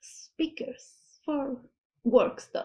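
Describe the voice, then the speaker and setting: The speaker is a woman. Her speech carries a non-native accent. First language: not English. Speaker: anime reaction youtuber. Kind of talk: reaction video commentary. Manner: halting, self-correcting.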